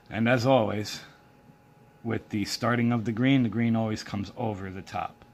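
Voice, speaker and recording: Soft-spoken and monotone, a man talks at a moderate pace with medium pitch and flat intonation. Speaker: paracord craft tutorial maker. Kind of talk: tutorial. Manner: halting, many fillers.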